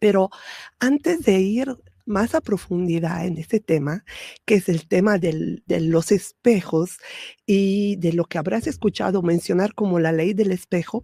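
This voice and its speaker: The sound is dry and close with no echo, and a woman speaks with a dark, mellow tone at a medium pitch. She goes at a fairly slow pace with ordinary pitch variation. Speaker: spiritual podcast host. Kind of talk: spiritual talk. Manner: soft-spoken; hesitant fillers.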